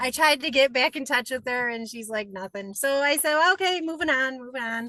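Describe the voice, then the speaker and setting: A woman's raised, projected voice in an American accent, high-pitched and bright, sharp in tone, with lively intonation at a moderate pace. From upstate New York. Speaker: aspiring real estate wholesaler. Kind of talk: self-introduction in online group call.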